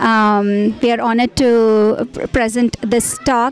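At a very slow pace, a woman speaks with a fairly high pitch and fairly even intonation, the sound dry with no echo over light background noise. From India. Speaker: temple community member. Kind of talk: interview statement. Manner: halting, many fillers. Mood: polite, appreciative. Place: hall. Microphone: handheld.

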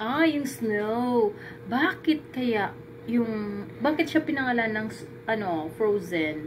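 Lively intonation comes through at a very slow pace over noticeable background noise. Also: woman, fairly high pitch for a woman. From Philippines. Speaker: vlogger. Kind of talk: casual cooking vlog; casual vlog chat. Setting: home kitchen. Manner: animated. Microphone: phone near.

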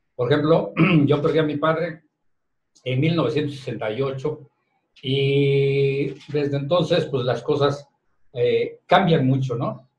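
With long, frequent pauses, a man speaks at a very slow pace in a somewhat breathy, fairly high-pitched voice with fairly even intonation. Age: 60s. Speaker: head of the media company, boss of the hosts; radio show guest or host. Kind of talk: casual radio chat. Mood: grateful, reflective. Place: studio.

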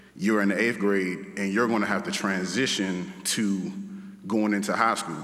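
Here is a man with a fairly low pitch. He talks at a moderate pace. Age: 30s. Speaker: teacher. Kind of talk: graduation speech. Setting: stage with audience. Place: hall. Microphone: podium.

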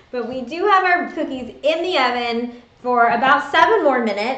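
Lively intonation in a space with audible room echo. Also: woman, high pitch for a woman, moderate pace. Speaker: video vlog host. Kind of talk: casual livestream chat. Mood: cheerful, friendly. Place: home room. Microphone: webcam.

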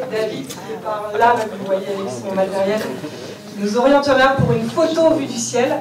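At a fairly slow pace, a woman talks with a fairly high pitch and lively intonation. Audible room echo and noticeable background noise surround her. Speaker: family reunion organizer. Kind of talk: welcome speech to gathered relatives. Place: hall.

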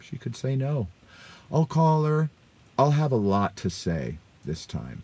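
This man's voice is somewhat breathy. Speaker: vlogger telling a dating story. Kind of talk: casual vlog chat. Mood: wry, self-mocking. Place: car. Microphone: phone near.

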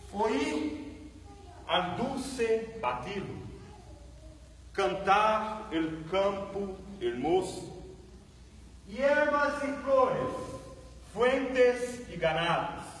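A man's high-pitched voice with very wide pitch swings, a very slow pace, long and frequent pauses, and audible room echo. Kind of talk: poem declamation. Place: church. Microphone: camera far.

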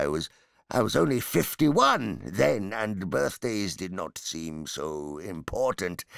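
A man puts on a character voice with a very deep, low pitch and very wide pitch swings, speaking at a fairly slow pace. The recording is very clean with a silent background. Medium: read story. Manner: hesitant, stammering, chatty.

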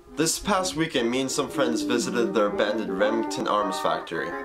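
Man speaking at a fairly quick pace over loud music in the background. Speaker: vlogger. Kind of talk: casual vlog intro. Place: home room. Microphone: phone near.

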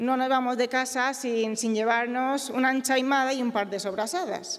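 This woman has a high pitch and fairly even intonation. She speaks at a fairly slow pace. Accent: Mallorcan. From Mallorca, Balearic Islands; Mallorca. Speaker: company co-founder and engineer. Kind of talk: award acceptance speech. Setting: stage with audience. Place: stage. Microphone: podium.

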